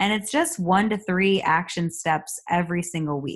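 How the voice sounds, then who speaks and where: A woman speaks fairly slowly at a medium pitch with ordinary pitch variation in a normal speaking voice, against a quiet background. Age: 30s. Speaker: podcast host and life coach. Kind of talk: casual solo talk.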